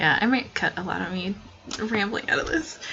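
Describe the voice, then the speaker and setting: A soft-spoken woman with lively intonation over noticeable background noise. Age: young. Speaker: student artist. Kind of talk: tutorial. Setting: at home at night. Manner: halting.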